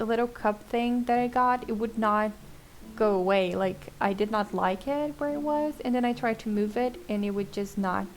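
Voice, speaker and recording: Music plays behind a woman with a Portuguese accent. Her fairly high voice shows ordinary pitch variation. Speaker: gaming YouTuber. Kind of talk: voiceover commentary on gameplay. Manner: casual, relaxed.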